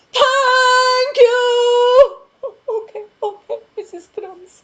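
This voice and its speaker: Shouting in a put-on character voice, the speaker goes at a very slow pace. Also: man, extremely high pitch for a man. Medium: read story.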